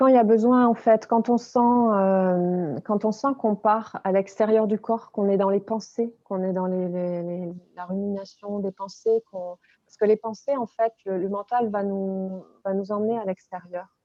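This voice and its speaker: Her medium-pitched voice calm in tone, a woman speaks at a fairly slow pace with fairly even intonation and big swings in loudness. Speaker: body and movement coach. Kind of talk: interview. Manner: hesitant.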